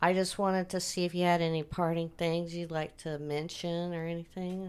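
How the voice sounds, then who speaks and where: Her intonation fairly even, a woman with a Midwestern American accent speaks at a fairly low pitch. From Wichita, Kansas. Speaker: podcast host. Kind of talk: casual interview.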